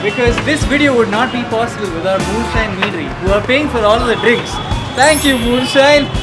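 Clear music sounds behind the speech. A man talks fairly quickly. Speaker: video host. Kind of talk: casual vlog chat. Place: bar. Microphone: lapel.

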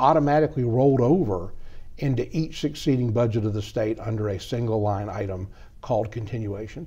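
A man with a Georgia accent talks at a very fast pace in a medium-pitched, dark, mellow, somewhat breathy voice with ordinary pitch variation. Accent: Southern American (Georgia). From DeKalb County, Georgia. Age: 50s. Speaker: politician; politician interviewee. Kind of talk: interview; interview answer. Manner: halting, many fillers and repetitions. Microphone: lapel.

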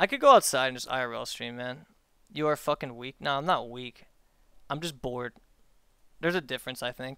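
In a bright, sharp tone with an American accent, the speaker talks at a fairly quick pace with long, frequent pauses, ordinary pitch variation and big swings in loudness, in a dry sound with no echo against a quiet background. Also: man. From US, Maryland. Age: 20s. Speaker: streamer. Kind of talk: casual chat. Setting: live stream with voice chat. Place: home room. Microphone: headset.

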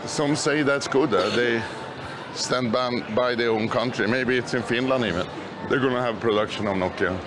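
A man talks at a moderate pace with very even loudness and ordinary pitch variation. Noticeable background noise runs behind him. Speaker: tourist vlogger. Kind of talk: casual walking tour commentary. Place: shop. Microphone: phone near.

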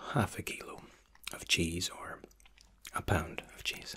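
Whispering, a man goes along at a fairly slow pace. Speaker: waiter role-play host. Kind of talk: soft role-play explanation to viewer.

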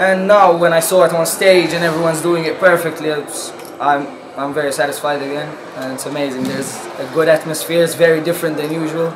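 Noticeable background noise sits under a very fast, monotone, flat delivery. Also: man. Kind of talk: interview answer.

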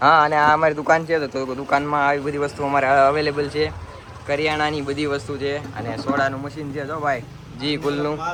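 A man's fairly high voice amid audible room echo and noticeable background noise. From Gujarat, India. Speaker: vlogger. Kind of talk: casual vlog tour. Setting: outdoors on family farm. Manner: animated.

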